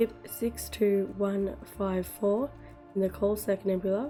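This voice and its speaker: Over background music, a woman at a medium pitch speaks very slowly with fairly even intonation. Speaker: gaming content creator. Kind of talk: gaming news roundup.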